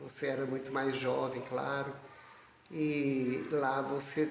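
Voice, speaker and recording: Over noticeable background noise and audible room echo, a man talks very slowly in a flat monotone. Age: 70s. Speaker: lay missionary and artist. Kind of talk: testimony.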